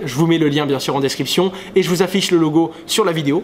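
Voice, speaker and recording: A very fast-talking man over noticeable background noise. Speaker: crypto YouTuber. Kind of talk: casual vlog monologue.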